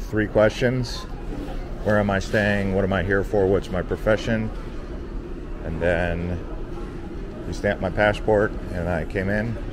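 A man speaks at a fairly slow pace with long, frequent pauses and a fairly low pitch. His intonation is fairly even, and there is noticeable background noise. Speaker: travel vlogger. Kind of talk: casual vlog chat. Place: station. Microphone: phone near.

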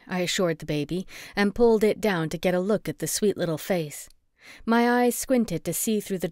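The speaker uses an unforced reading voice.

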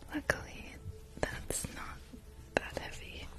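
A woman talks very slowly, her dry sound with no echo set against loud background noise. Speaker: ASMR streamer. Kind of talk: live ASMR stream chatting with viewers. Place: home room. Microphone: studio mic.

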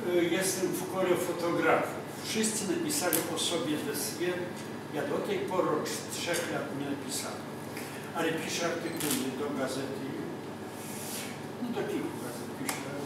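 Over loud background noise and audible room echo, a man speaks at a moderate pace with ordinary pitch variation and long, frequent pauses. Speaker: guest. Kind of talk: personal talk to an audience. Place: cafe. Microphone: camera far.

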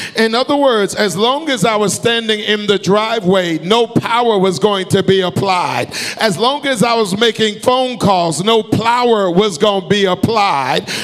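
Shouting in an American accent, a man speaks at a high pitch with an animated tone and ordinary pitch variation. His pace is fairly slow, with hardly any pauses. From US South, Alabama. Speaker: pastor. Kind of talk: sermon, preacher in full flow with call-and-response. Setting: church, stage with live congregation. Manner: animated, rhythmic, urgent and exhorting; pauses for the congregation to shout back amen. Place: church. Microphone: handheld.

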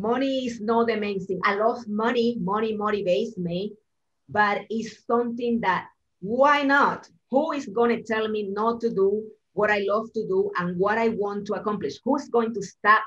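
Someone with a Spanish accent speaks at a moderate pace with fairly even intonation and big swings in loudness. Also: woman, fairly high pitch for a woman. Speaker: real estate agent; guest. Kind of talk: interview in group coaching call. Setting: video call. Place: office. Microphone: video call.

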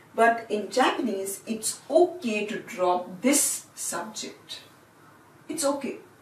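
A woman speaks at a very slow pace, her fairly high voice making very wide pitch swings. Audible room echo fills the recording. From India. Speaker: language teacher. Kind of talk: lecture. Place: classroom. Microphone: camera far.

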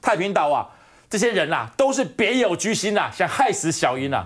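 A man talks in an animated tone with very wide pitch swings. The background is quiet. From Taiwan. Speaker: political commentator. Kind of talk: talk show panel discussion. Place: studio.

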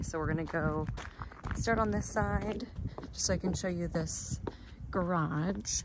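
A woman speaks in a dry sound with no echo. Loud background noise fills the recording. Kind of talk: casual walkthrough narration to a colleague. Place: street. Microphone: phone near.

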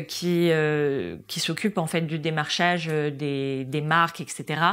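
This is a woman talking. Her intonation is fairly even. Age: 20s. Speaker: social media marketing worker at a luxury brand; guest. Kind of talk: casual chat.

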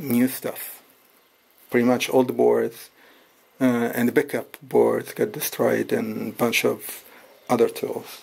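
The man in this clip speaks at a fairly slow pace. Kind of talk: casual tutorial show-and-tell. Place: garage. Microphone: phone near.

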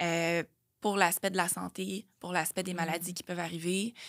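A woman talks in a Quebec accent at a medium pitch, with a bright, sharp tone. Her intonation is monotone and flat, against a quiet background. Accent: Québécois French. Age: 30s. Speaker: fitness trainer and nutrition coach; fitness trainer, nutrition coach. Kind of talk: casual chat. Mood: reflective, personal story. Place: studio. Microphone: studio mic.

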